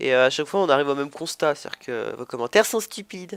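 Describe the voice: A man's fast, lively speech at a medium pitch, clear and smooth in tone, fairly bright, with vocal fry.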